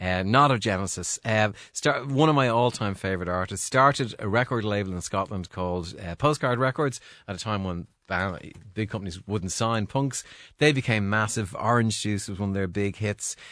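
A man's fairly low, fairly bright voice at a moderate pace, with few pauses and ordinary pitch variation, on a very clean recording with a silent background

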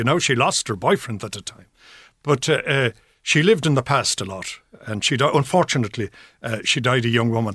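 A man with an Irish accent talks at a moderate pace and medium pitch with ordinary pitch variation, in a very clean recording, silent background, with a dry, close sound with no echo. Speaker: journalist. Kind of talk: radio panel discussion. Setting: studio.

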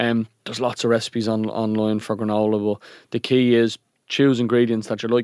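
The speaker talks at a fairly quick pace with a Dublin accent. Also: man, very clean recording, silent background. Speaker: podcast co-host. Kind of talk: casual chat.

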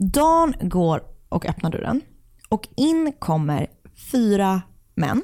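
At a very slow pace with long, frequent pauses, a woman with a medium pitch and a dark, mellow tone makes very wide pitch swings at very even loudness in a dry, close sound with no echo. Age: 30s. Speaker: true crime podcast co-host. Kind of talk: casual true crime storytelling.

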